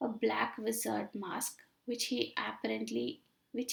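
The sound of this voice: The clip has an unforced reading voice. That is how it sounds.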